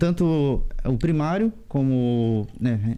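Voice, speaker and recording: The man has a dark, mellow tone at a medium pitch, with ordinary pitch variation. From Santa Catarina, Vale do Itajaí (Indaial). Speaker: interviewee. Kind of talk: TV interview.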